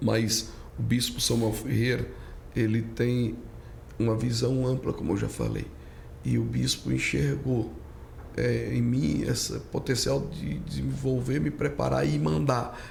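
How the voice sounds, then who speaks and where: A man's fairly low voice with very wide pitch swings, very even loudness, a fairly slow pace, long, frequent pauses and audible room echo. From Brazilian Northeast (Pernambuco). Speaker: pastor. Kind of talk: casual chat.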